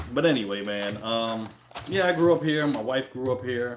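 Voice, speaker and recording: A man speaks in a relaxed tone at a moderate pace, his medium pitch showing ordinary variation, with audible room echo and noticeable background noise. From Brooklyn, New York (born in the Caribbean, left at seven). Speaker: YouTuber. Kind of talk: casual livestream chat. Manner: relaxed, conversational.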